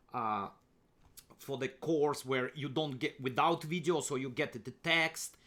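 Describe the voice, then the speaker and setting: A man with a Russian accent speaks at a moderate pace in a fairly high, bright, sharp voice with fairly even intonation. The recording is very clean, with a silent background. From Kazakhstan, Soviet Union. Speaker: chess grandmaster and coach. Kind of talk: screen-share tutorial presentation. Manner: halting, many fillers and repeats.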